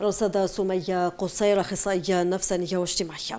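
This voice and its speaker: A woman's dark, mellow voice with fairly even intonation. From Algeria. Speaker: TV news presenter. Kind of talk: TV studio interview. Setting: TV studio. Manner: formal. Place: studio. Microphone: lapel.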